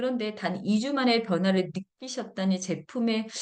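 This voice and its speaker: A woman talks in a normal speaking voice at a fairly high pitch, keeping a moderate pace and lively intonation. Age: 50s. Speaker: product lecturer, health supplement seller. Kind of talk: product presentation, reading reviews.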